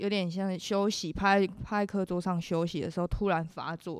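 A woman speaks at a moderate pace in a plain, everyday voice, medium in pitch with fairly even intonation, on a very clean recording with a silent background. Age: 20s. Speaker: university student. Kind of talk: interview testimony. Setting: studio.

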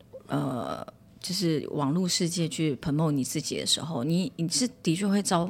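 Her pitch fairly low, a woman speaks with lively intonation. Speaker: speaking coach. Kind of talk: casual chat. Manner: gentle, unhurried.

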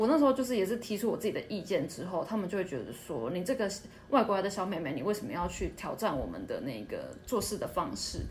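A woman speaks at a very fast pace and medium pitch, with very wide pitch swings. Audible room echo surrounds her voice. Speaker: retail and service worker in Japan. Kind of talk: casual interview chat.

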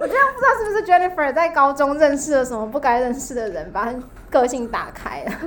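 A woman's high-pitched, fairly quick speech with very wide pitch swings and big swings in loudness, against noticeable background noise. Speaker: high school teacher. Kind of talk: casual chat.

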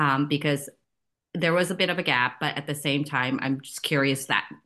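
With an American accent, a woman speaks in a very deep, low pitch and a bright, sharp tone against a quiet background. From US Midwest. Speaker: podcast host. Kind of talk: interview.

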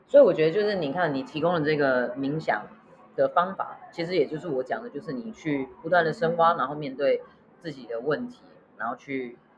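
The speech runs at a fairly quick pace, with noticeable background noise behind it. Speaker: podcast co-host. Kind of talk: casual chat.

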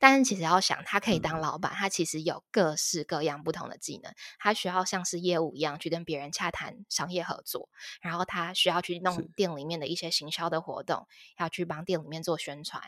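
Speaking at a fairly quick pace, a woman with a fairly low pitch uses ordinary pitch variation and big swings in loudness on a very clean recording with a silent background. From Taiwan, Taipei. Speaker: career consultant, former HR recruiter. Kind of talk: interview. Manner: frequent fillers and hesitations.

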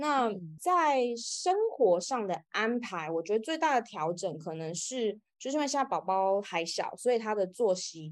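A woman at a moderate pace with very wide pitch swings, against a quiet background. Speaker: author. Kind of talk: interview.

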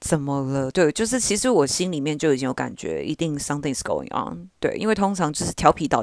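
Her very deep, low voice has vocal fry, a relaxed tone and very wide pitch swings, at a fairly quick pace. The woman is heard with a dry, close sound with no echo and a quiet background. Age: 20s. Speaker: podcast host. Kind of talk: casual solo monologue. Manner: relaxed, informal.

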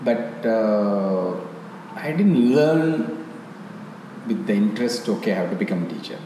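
A man's medium-pitched voice with a Tamil accent, very wide pitch swings, a fairly slow pace and long, frequent pauses, plus noticeable background noise and audible room echo. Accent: Indian (Tamil) English. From South India (Tamil-speaking). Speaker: yoga teacher. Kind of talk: interview. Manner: halting.

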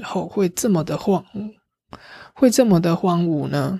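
A woman speaks with fairly low pitch and vocal fry. Her intonation is lively. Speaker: travel podcast host. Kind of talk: casual solo travel talk. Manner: livelier, normal chatting pace.

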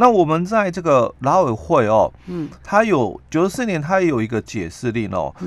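Speaking at a moderate pace with a Taiwanese accent, a man uses a fairly high pitch and very wide pitch swings. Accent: Taiwanese Mandarin. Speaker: labor relations expert. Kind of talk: radio interview explaining labor law. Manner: halting, many filler particles.

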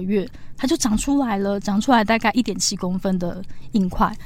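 The woman has an unremarkable speaking voice at a medium pitch. She talks fairly quickly, with ordinary pitch variation. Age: 30s. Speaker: cancer survivor and author. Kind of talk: interview.

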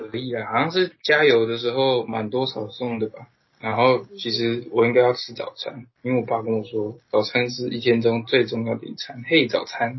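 A man has an unremarkable speaking voice, with a medium pitch, fairly even intonation and a moderate pace. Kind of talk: casual chat.

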